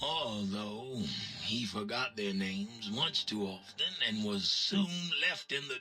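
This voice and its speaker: A man talks in a raspy, put-on character voice. His pace is fairly slow. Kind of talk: game ending narration. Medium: video game.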